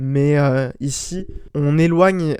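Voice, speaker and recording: This man's voice has a dark, mellow tone. His intonation is fairly even. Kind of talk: casual film analysis talk. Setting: home recording. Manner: stuttering, many hesitations.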